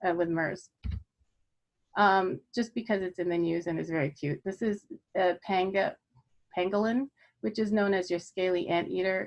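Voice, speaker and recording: Her pitch medium and her intonation fairly even, a woman speaks at a moderate pace. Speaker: physician lecturer. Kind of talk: lecture. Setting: online video presentation.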